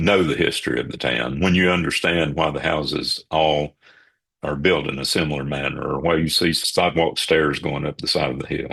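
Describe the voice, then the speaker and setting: With vocal fry and fairly even intonation, a man talks at a moderate pace in a very deep, low voice. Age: 60s. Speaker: local photographer. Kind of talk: casual interview.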